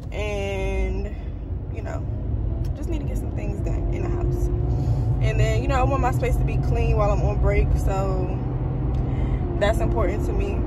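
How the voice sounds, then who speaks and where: A woman's voice comes through dry with no echo, under loud background noise. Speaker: vlogger. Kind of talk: casual vlog chat. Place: car. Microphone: phone near.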